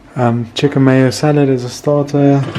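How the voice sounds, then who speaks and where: Speaking at a very slow pace in a flat monotone, this man has a fairly high pitch, with noticeable background noise behind him. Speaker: vlogger. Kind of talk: casual vlog. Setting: at home.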